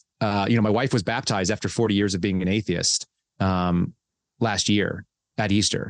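A man with an American accent speaks at a fairly low pitch with fairly even intonation against a quiet background. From California and Texas. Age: 40s. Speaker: former FBI agent and whistleblower. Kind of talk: interview. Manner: fast.

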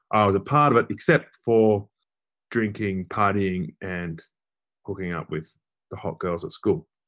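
A man's fairly slow, fairly low-pitched speech in an Australian accent, with long, frequent pauses and big swings in loudness. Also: ordinary pitch variation. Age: 40s. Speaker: journalist and author. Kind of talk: interview.

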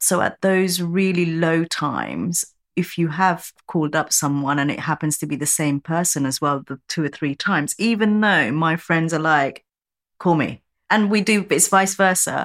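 Recorded very cleanly against a silent background, a woman has an ordinary speaking voice, a fairly low pitch, ordinary pitch variation and a moderate pace. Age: 40s. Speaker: workplace mental health CEO. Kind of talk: interview conversation.

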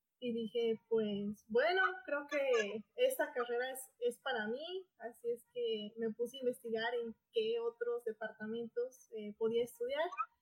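At a fairly slow pace, a woman speaks with a high pitch and ordinary pitch variation, recorded with a dry, close sound and no echo. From Bolivia, Potosí. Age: 20s. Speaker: doctoral researcher in biotechnology. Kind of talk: interview.

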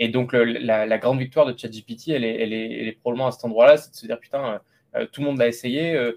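This man's voice sits at a medium pitch with fairly even intonation. He speaks at a very fast pace. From France, Lot. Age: 30s. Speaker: AI entrepreneur. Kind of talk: interview. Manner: hesitant, many repetitions.

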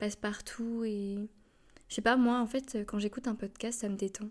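A woman speaks at a fairly high pitch. Her intonation stays flat and monotone. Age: 20s. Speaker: podcaster and communications student. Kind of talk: casual monologue. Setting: home recording alone. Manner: hesitant.

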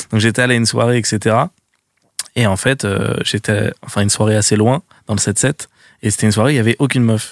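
A man at medium pitch talks at a very fast pace with long, frequent pauses and monotone, flat intonation. His loudness stays very even, and the sound is dry and close with no echo. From Seine-Saint-Denis, Paris suburbs, France. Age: 20s. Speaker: online video creator. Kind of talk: casual chat.

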